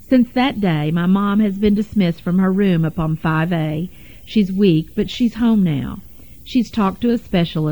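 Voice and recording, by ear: A natural voice reads aloud here, its pitch varying in an ordinary way.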